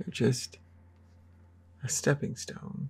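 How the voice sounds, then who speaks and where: A man's somewhat breathy voice with a dark, mellow tone. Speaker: artist and art tutorial creator. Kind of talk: drawing tutorial. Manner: casual, halting; mumbling to himself while drawing.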